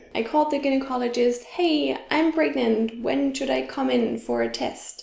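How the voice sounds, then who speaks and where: Noticeable background noise sits under the recording. A woman speaks at a moderate pace. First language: German. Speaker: vlogger. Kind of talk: casual talk to camera.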